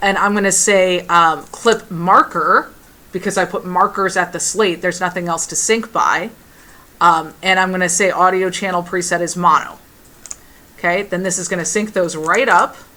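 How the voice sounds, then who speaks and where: A woman's loud, bright, sharp voice sits at a medium pitch, with fairly even intonation and a moderate pace. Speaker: film production instructor. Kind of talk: classroom tutorial.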